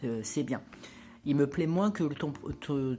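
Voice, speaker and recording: Lively intonation runs through a woman's dark, mellow tone. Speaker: spiritual lifestyle vlogger. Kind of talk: casual vlog monologue. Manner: hesitant, many fillers.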